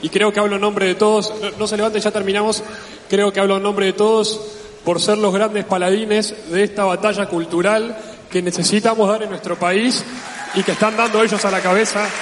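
With noticeable background noise, a man with a high pitch speaks in a flat monotone. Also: fairly quick pace. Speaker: event organizer. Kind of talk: event announcements. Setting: stage with audience.

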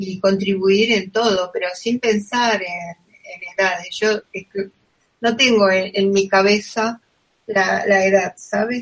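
A woman's medium-pitched voice at a very slow pace, monotone and flat in intonation. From Argentina. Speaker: podcast host. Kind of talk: interview.

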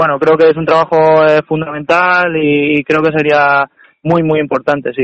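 A fairly high-pitched man talks at a fairly slow pace with monotone, flat intonation. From Spain, Cuenca. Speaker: footballer. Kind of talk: interview. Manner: halting.

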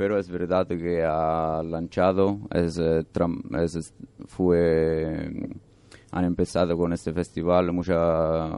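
In an Italian accent, a man speaks very slowly with a very deep, low pitch, a dark, mellow tone, very even loudness, and monotone, flat intonation. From Italy. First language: Italian (speaking Spanish). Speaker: European volunteer, radio contributor. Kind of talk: casual radio chat. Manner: halting.

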